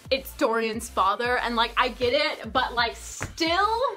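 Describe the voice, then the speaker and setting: The voice is raised and projected into shouting, with an excited tone and very wide pitch swings. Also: woman. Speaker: book youtuber. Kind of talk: book review vlog. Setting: home. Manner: hyper, excited; loud, shouting.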